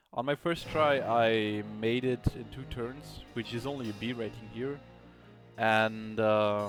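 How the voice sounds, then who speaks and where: A man's very slow speech at medium pitch, fairly even in intonation, with music in the background. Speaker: game reviewer. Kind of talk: gameplay commentary. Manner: occasional stuttering; hesitant, many filler sounds.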